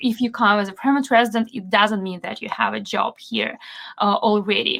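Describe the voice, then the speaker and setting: A woman speaks in a bright, sharp tone with fairly even intonation. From Belarus. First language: Belarusian and Russian. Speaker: SEO consultant. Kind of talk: podcast interview.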